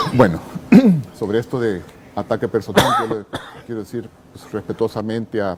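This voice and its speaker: A man speaks with a Salvadoran accent and a fairly low pitch. Background noise is noticeable. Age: 60s. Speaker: legislator. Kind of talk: TV debate interview.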